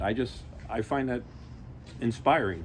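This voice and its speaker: A man's medium-pitched voice with vocal fry. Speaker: gaming figure at anniversary event. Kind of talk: speech at outdoor ceremony.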